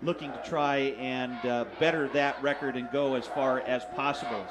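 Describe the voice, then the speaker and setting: Noticeable background noise sits behind the speech. The male speaker keeps a moderate pace. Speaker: play-by-play announcer. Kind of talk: sports commentary.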